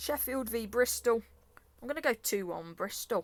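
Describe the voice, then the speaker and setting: A woman speaks with an English accent and an animated tone. Her pace is moderate. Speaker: football predictions youtuber. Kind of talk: casual monologue.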